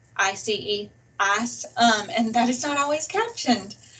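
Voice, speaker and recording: A woman speaks with a Southern US accent. Her pitch is high. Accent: very Southern. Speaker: college English instructor. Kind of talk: webinar presentation.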